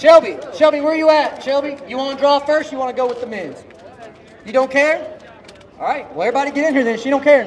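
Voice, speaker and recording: Over noticeable background noise, a man shouts loudly at a very fast pace and an extremely high pitch. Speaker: drag racing event host. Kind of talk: live event emcee at driver introductions. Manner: loud, yelling; animated.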